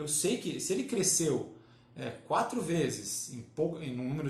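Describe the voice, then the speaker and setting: Noticeable background noise and audible room echo surround a man whose voice sits fairly high in pitch. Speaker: baker. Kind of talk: live-stream tutorial. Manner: halting, many fillers.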